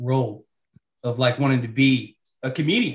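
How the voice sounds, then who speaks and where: The man's voice comes across as somewhat breathy. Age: 20s. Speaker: podcast co-host. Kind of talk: casual interview.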